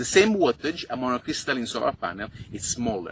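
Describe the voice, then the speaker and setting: A man talks at a fairly quick pace in an Italian accent, his pitch medium and his intonation lively. Noticeable background noise sits behind him. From Italy. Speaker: overlander and travel vlogger. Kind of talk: tutorial.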